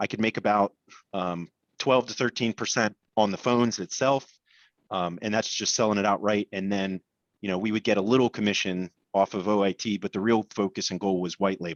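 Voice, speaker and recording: A man's fairly low voice at a fairly quick pace. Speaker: MSP business owner. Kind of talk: panel discussion. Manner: halting.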